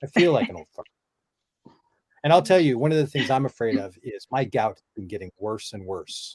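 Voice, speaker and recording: The man's pitch swings very widely, and his voice is somewhat breathy. He talks at a fairly quick pace in a dry, close sound with no echo. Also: medium pitch for a man, big swings in loudness. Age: 50s. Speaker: podcast host. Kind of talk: casual chat. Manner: animated.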